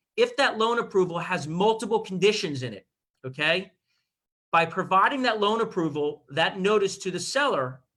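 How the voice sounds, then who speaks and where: A man with an American accent speaks in a raised, projected voice, high for a male, with a bright, sharp tone. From Miami, Florida. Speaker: real estate attorney. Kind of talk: expert advice in livestream interview. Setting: Zoom livestream. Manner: fast.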